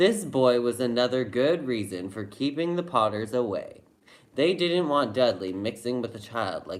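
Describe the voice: Lively intonation marks this plain reading aloud.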